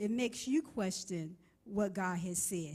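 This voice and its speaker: A woman talks very slowly in a somewhat breathy voice, her intonation lively. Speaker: preacher, minister. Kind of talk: sermon preaching.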